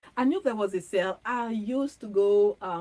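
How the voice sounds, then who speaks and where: At a moderate pace, a woman speaks in a French accent with medium pitch and ordinary pitch variation. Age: 40s. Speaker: fashion content creator. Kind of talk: casual chat. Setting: livestream from home studio. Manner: chatty, with many fillers.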